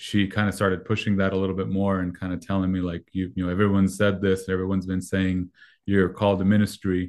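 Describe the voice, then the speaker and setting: A man's voice sits very deep and low in pitch. He speaks in a flat monotone against a quiet background. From Mexico. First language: Spanish. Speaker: youth pastor. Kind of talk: interview.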